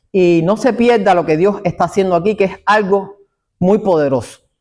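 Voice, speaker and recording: The recording is very clean and the background silent. In it, a man talks with a high pitch. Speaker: evangelistic ministry interviewer. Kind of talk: interview. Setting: church.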